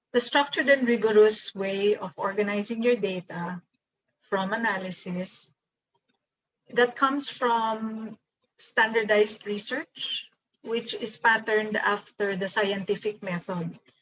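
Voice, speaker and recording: In a Filipino accent, a woman talks at a fairly slow pace with fairly even intonation. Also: fairly high pitch for a woman. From Philippines. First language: Tagalog. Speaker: professor. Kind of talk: lecture. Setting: video call.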